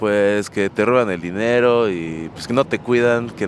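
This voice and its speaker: Noticeable background noise sits under a man's fairly low voice as he speaks at a fairly slow pace with ordinary pitch variation. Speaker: rock musician. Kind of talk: street interview.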